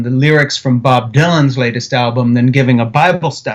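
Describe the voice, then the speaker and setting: A man with an American accent speaks at a medium pitch. He has a plain, everyday voice with fairly even intonation. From Switzerland, at an American missionary community. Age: 60s. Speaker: author and film director. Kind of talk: interview.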